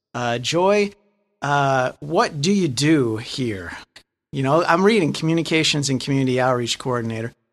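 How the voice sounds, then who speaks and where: Using a plain, everyday voice, a man talks at a moderate pace with medium pitch and ordinary pitch variation. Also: very clean recording, silent background. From Lansing, Michigan. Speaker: podcast host. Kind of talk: interview. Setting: guest's office.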